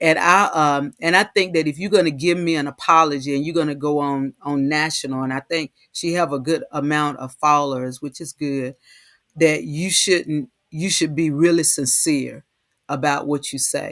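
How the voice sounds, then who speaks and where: The recording is very clean, with a silent background and a dry, close sound that has no echo. The intonation stays fairly even. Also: woman, very deep, low pitch for a woman, moderate pace. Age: 60s. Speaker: online talk show host. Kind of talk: casual chat. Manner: halting, many repetitions.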